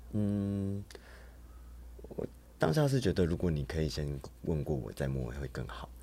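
A man's very deep, low voice with a dark, mellow tone and lively intonation, at a fairly slow pace broken by long, frequent pauses. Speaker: emergency room nurse and go-go dancer. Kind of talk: casual interview.

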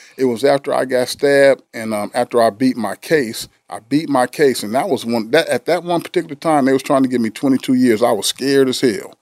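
A man with an American accent has an unremarkable speaking voice at a medium pitch, with ordinary pitch variation. He talks at a fairly quick pace with hardly any pauses, in a dry, close sound with no echo. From US West Coast, San Diego. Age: 50s. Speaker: therapist. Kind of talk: casual chat.

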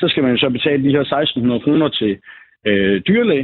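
At a moderate pace, a man with a normal speaking voice talks at a fairly high pitch with lively intonation. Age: 20s. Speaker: salesman. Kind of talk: phone interview. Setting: phone call.

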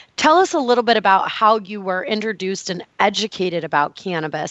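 A woman talks in a normal speaking voice at a fairly quick pace. Her pitch is medium. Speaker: health podcast host. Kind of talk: interview.

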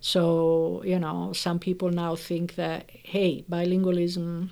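A woman with an Italian accent speaks very slowly on a very clean recording with a silent background. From Italy. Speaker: professor of linguistics. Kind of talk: interview explaining research.

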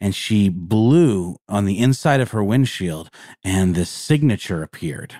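An ordinary speaking voice with lively intonation moves at a fairly slow pace in a very clean recording with a silent background. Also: man, fairly low pitch for a man. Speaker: podcast co-host. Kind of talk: casual chat, podcast. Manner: conversational, filler words.

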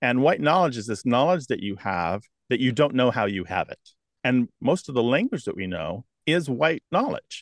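Recorded with a dry, close sound and no echo, a man has an ordinary speaking voice at a medium pitch. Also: quiet background. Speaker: lexicographer and radio host. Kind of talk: interview. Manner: articulate.

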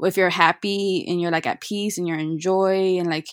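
An ordinary speaking voice from a woman with an American accent, medium in pitch, ordinary in pitch variation, at a fairly quick pace. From Chicago. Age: 20s. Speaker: virtual assistant. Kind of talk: casual chat.

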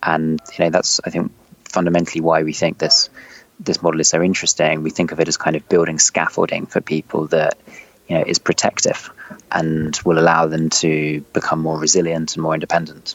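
Over noticeable background noise, a man with a very deep, low voice speaks in a flat monotone at a fairly quick pace. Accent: London. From London. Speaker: startup CEO. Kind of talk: interview.

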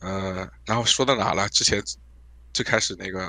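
A man speaks at a very deep, low pitch. His tone is bright and sharp. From China (Hunan). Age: 30s. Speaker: caller, graduate student in the US. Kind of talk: call-in discussion. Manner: hesitant, many fillers.

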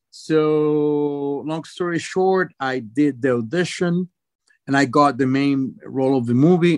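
Speaking very slowly with a Venezuelan accent, a man holds a medium pitch with ordinary pitch variation, in a dry, close sound with no echo. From Venezuela, Caracas. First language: Spanish. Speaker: actor. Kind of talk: interview. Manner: halting.

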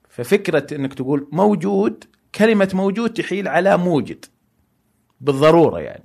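His intonation is lively. This man speaks at a high pitch. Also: moderate pace. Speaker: guest speaking on philosophy and faith. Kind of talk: long-form interview. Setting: studio, no headphones. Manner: loud.

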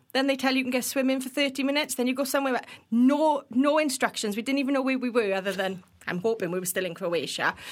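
Speaking at a very fast pace, a woman with a Welsh accent has a high pitch and ordinary pitch variation. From Wales. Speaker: builders merchant industry professional. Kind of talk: casual podcast interview. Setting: studio. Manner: infectious, enthusiastic.

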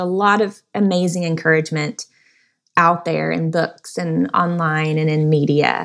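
A woman with an American accent, a normal speaking voice, ordinary pitch variation and a moderate pace. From Texas, Dallas. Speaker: designer and speaker. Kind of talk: interview.

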